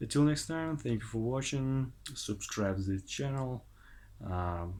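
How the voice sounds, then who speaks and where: Speaking at a fairly slow pace, a man uses a medium pitch and lively intonation. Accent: non-native. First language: not English. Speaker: language learner vlogger. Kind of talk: casual monologue vlog. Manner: halting, many hesitations.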